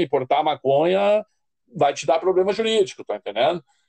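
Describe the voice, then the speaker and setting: Dry and close with no echo, a man's dark, mellow voice moves at a moderate pace with ordinary pitch variation. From southern Brazil, Rio Grande do Sul. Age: 50s. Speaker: addiction counselor and social worker. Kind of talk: interview.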